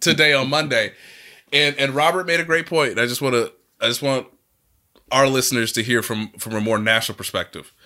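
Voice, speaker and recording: Loud and animated, a man with a fairly high, bright and sharp voice talks at a fairly quick pace with ordinary pitch variation and long, frequent pauses, on a very clean recording with a silent background. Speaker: sports journalist and podcast co-host. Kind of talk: casual chat.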